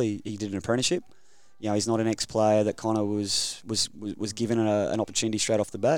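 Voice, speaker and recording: A man with an Australian accent speaks at a very fast pace, his fairly low voice held in monotone, flat intonation. The recording is very clean, with a silent background. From Queensland, Rockhampton. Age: 30s. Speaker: rugby league development coach. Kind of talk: interview. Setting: studio.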